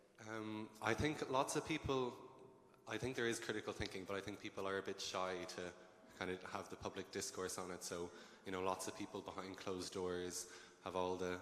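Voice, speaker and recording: Speaking at a fairly quick pace with a western Irish accent, this voice has ordinary pitch variation. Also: man, fairly low pitch for a man. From Ireland, Galway. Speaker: medical student, panelist. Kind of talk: panel discussion.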